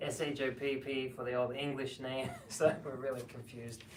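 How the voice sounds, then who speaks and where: With an Australian accent, a man speaks at a medium pitch in a monotone, flat intonation, with audible room echo and noticeable background noise. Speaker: herbalist and seminar teacher. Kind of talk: seminar talk with Q&A.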